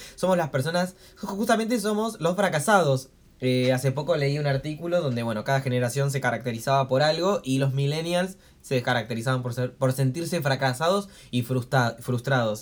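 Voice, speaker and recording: A man talks at a moderate pace with a fairly high pitch and lively intonation. It is a plain, everyday voice. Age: 20s. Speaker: podcast co-host. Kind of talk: casual chat. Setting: home, recorded on a tablet.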